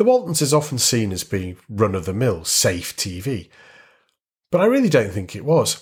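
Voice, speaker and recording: A man of medium pitch speaks in a northern English accent, somewhat breathy. His pitch swings very widely. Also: moderate pace. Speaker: podcast host. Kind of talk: scripted narration.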